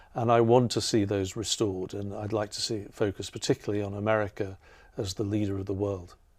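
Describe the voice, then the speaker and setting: On a very clean recording with a silent background, a man with an English accent speaks at a moderate pace in a fairly low, monotone, flat voice. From England. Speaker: artist and professor. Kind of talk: interview conversation. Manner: halting, many fillers.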